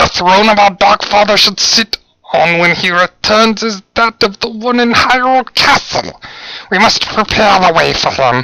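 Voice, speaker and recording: A man puts on a character voice pitched high. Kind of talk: dramatic speech to a crowd. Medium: role play. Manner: commanding, fervent.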